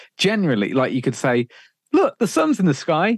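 The voice, with a Birmingham accent, moves at a moderate pace through very wide pitch swings. The sound is dry and close with no echo, over a quiet background. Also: man. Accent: Birmingham-area English. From English Midlands, Sutton Coldfield. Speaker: radio presenter. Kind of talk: casual interview chat.

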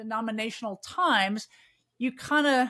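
Fairly high in pitch, a woman speaks with a Midwestern American accent. The recording is very clean, and the background silent. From US Midwest. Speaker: podcast host. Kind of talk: casual interview chat.

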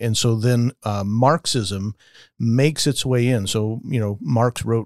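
Recorded very cleanly against a silent background, the dry, close voice without echo is a normal speaking voice in an American accent with fairly even intonation. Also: man. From Las Vegas, US. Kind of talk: casual discussion.

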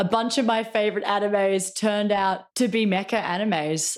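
An ordinary speaking voice from a woman, medium in pitch, at a moderate pace. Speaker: podcast co-host. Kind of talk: casual chat.

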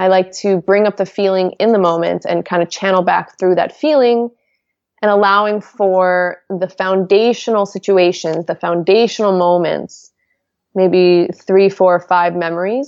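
A woman speaks at medium pitch and a moderate pace. Her intonation stays fairly even. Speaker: hypnotherapist and motivational speaker. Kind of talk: podcast interview, casual conversation.

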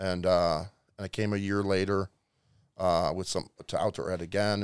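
This very clean recording with a silent background has a dry, close sound with no echo, carrying a man's fairly low voice with a Chicago accent. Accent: Chicago-area American. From Chicago suburbs, Illinois. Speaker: missionary. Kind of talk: interview, personal testimony. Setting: studio.

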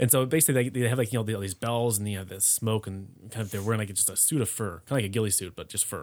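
Over a silent background in a very clean recording, the speech moves at a very fast pace with hardly any pauses and ordinary pitch variation. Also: man, fairly low pitch for a man. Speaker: expat living in Germany. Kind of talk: casual chat.

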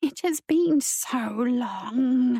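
In a put-on character voice, a woman speaks at a very slow pace and a fairly high pitch, with a dark, mellow tone, vocal fry and a slightly husky edge. The sound is dry and close with no echo. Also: ordinary pitch variation.

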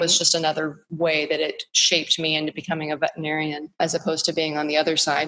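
Fairly low-pitched woman with an American accent at a fairly quick pace. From US, Texas (North Dallas). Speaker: equine veterinarian. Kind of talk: interview conversation.

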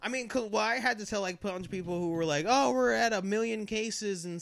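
In a very clean recording with a silent background, a man speaks at a fairly quick pace in a high pitch with an animated tone. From Colorado. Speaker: podcast guest. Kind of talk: casual chat.

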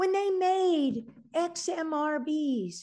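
A woman speaks in an animated tone with very wide pitch swings. The background is quiet. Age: 60s. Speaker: research scientist. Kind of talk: interview.

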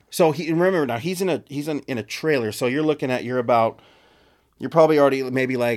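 With an American accent, a man speaks in a normal speaking voice at a fairly quick pace, using ordinary pitch variation. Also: very clean recording, silent background. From Texas. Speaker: podcast co-host. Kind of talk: casual chat.

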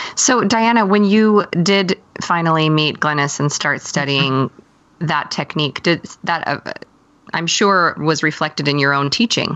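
A woman with an ordinary speaking voice talks at a fairly low pitch, her pitch varying in an ordinary way. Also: fairly slow pace. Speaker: podcast co-host and singer. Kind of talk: casual interview chat.

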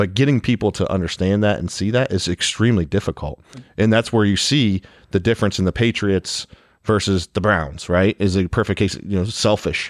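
In a normal speaking voice, a man with an American accent talks at a fairly quick pace with fairly low pitch and ordinary pitch variation. His loudness is very even, and the background is quiet. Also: dry, close sound with no echo. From Ohio. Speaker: podcast co-host. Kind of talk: casual interview.

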